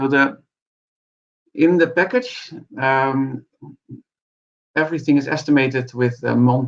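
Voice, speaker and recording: A man talks at a medium pitch with ordinary pitch variation. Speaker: scientist giving a research seminar. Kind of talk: lecture. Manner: fast; halting.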